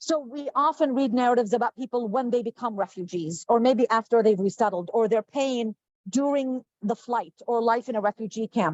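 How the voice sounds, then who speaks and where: A woman with an Arabic accent talks at a fairly quick pace. Her fairly high voice has ordinary pitch variation. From Jordan. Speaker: professor and author. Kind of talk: panel discussion.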